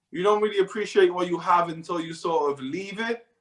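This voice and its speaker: A man with a South Wales accent talks at a fairly quick pace. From Wales, Newport. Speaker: professional futsal player. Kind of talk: interview.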